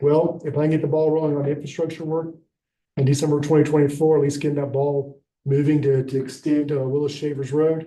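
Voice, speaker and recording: Talking at a very fast pace, a man has a fairly high pitch and a dark, mellow tone. His intonation stays monotone and flat, and there is audible room echo. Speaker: housing nonprofit director. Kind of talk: public presentation at county meeting. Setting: county commission meeting.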